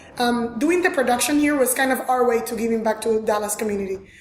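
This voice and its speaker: High-pitched woman's voice with a strong Venezuelan accent. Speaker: fashion designer. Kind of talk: interview. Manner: animated.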